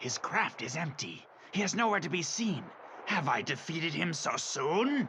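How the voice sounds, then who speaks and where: A man performs a cartoonish character voice at a high pitch. He keeps a moderate pace over clear background noise. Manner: sly, gloating.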